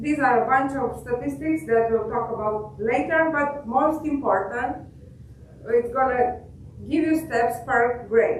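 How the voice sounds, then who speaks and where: A woman's high-pitched voice with ordinary pitch variation at a very slow pace, amid noticeable background noise and audible room echo. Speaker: software engineer. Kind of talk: product demo. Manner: halting, many fillers.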